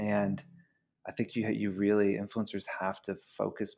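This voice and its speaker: With an American accent, a man speaks in a plain, everyday voice, fairly low in pitch and at a fairly slow pace. The recording is very clean against a silent background. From US South (Georgia). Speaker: company founder and CEO. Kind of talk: interview.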